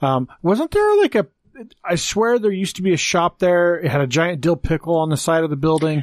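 Heard on a very clean recording with a silent background, a man speaks at a high pitch with ordinary pitch variation and very even loudness. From Wyoming (born in Texas). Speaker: podcast host. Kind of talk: casual chat.

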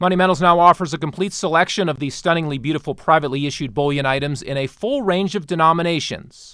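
With a bright, sharp, upbeat tone, a man at a fairly high pitch talks at a very fast pace with hardly any pauses on a very clean recording with a silent background. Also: ordinary pitch variation. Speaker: podcast host. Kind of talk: sales pitch; market wrap news reading. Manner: brisk, upbeat pitchman patter; polished, formal.

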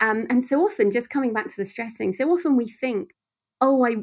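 A very clean recording with a silent background of a woman with an English accent and ordinary pitch variation. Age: 40s. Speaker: thriller author. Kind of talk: interview.

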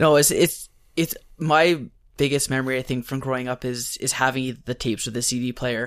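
Speaking at a fairly quick pace, a man uses a normal speaking voice at a medium pitch with fairly even intonation. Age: 20s. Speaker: podcast host. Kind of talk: casual chat.

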